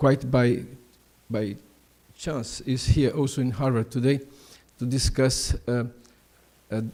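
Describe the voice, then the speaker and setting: The speaker has a non-native accent and a dark, mellow tone, talking at a fairly slow pace. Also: man. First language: Portuguese. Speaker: prosecutor and law professor. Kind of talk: conference talk. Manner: halting, many fillers.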